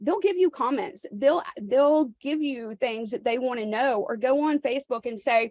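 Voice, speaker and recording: A woman's high voice in an American accent, with a dry, close sound and no echo. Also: lively intonation, moderate pace. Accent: Southern accent here and there. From New York, then US South from childhood. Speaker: realtor. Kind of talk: coaching call.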